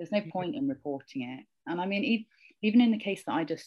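A woman speaks with a British accent at a fairly quick pace. Her pitch swings very widely. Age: 30s. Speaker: podcast co-host. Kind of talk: casual chat.

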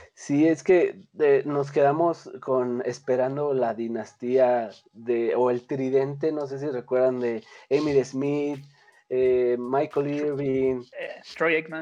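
At a very slow pace, a man with a central Mexican accent speaks in a fairly high pitch with a dark, mellow tone. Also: fairly even intonation. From Mexico. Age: 20s. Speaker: sports image consultant. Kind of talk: casual chat. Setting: remote call. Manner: halting.

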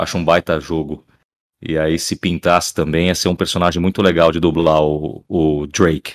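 The recording sounds dry and close, with no echo. A man with a very deep, low pitch talks at a moderate pace in a flat monotone. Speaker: voice actor. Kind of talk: casual chat.

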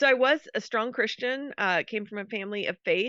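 A high-pitched woman with an American accent. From US, Colorado (Denver suburb). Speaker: former missionary, ministry founder. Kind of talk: interview.

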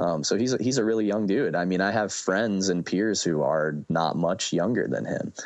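Against a quiet background, a man with an unremarkable speaking voice talks at a moderate pace and fairly low pitch, with ordinary pitch variation, very even loudness and hardly any pauses. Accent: American. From US Midwest, Fort Wayne Indiana. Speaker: solo musician. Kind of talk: casual interview chat.

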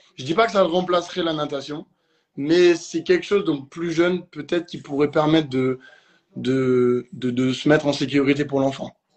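A man speaks in an unremarkable speaking voice. His pace is fairly slow, with ordinary pitch variation. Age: young. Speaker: swimming instructor. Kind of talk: live online debate.

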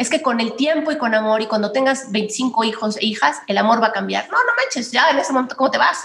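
A woman with a Mexican accent and a high pitch talks in an animated tone at a fairly quick pace, with ordinary pitch variation and hardly any pauses. Noticeable noise sits in the background. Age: 40s. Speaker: political communication consultant. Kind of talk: casual interview.

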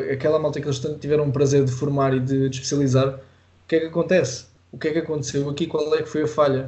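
Speaking very fast in a flat, monotone delivery, a man with a European Portuguese accent has a fairly high, somewhat breathy voice. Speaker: podcast host and judo coach. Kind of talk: interview.

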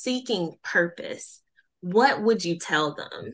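A woman with a Southern US accent speaks at a very slow pace, her pitch swinging very widely. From US South. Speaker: podcast host. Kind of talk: casual interview chat.

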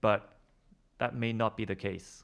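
This is a man speaking at a medium pitch. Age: 20s. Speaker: podcast co-host, hobbyist music producer. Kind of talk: casual chat.

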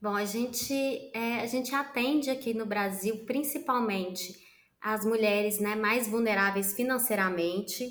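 A woman's fairly high voice at a fairly slow pace, an ordinary speaking voice with ordinary pitch variation. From Minas Gerais, Brazil. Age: 30s. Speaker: social entrepreneur. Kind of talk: interview.

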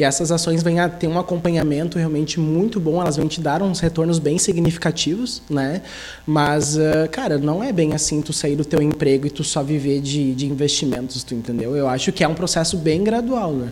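Music plays in the background as a man with a Gaúcho Brazilian accent speaks at a fairly high pitch. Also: ordinary pitch variation, moderate pace. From southern Brazil, Sapiranga (Rio Grande do Sul). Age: 30s. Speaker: investment advisor. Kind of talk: interview.

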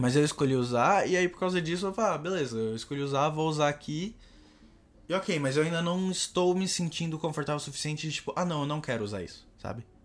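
Speaking at a very fast pace, a man talks at a fairly high pitch. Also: ordinary pitch variation. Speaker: podcast co-host. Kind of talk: casual chat.

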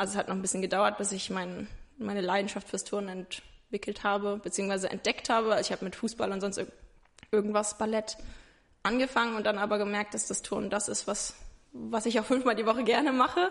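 A woman talks at a very fast pace. Her medium pitch holds fairly even intonation. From Rhineland-Palatinate, Germany (Ingelheim near Mainz). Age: 20s. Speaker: interview guest sharing mental health experience. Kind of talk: casual interview. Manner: hesitant, many fillers.

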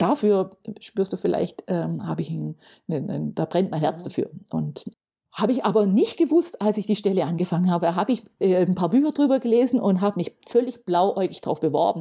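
A woman speaks at medium pitch and a moderate pace with a dark, mellow tone. Her intonation is lively, with vocal fry. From Germany, Stuttgart area (Swabia). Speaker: municipal economic development officer. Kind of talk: casual interview. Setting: studio, at a table.

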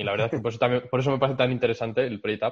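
Medium in pitch with ordinary pitch variation, a man talks in a normal speaking voice. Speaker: podcast host. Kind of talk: interview conversation.

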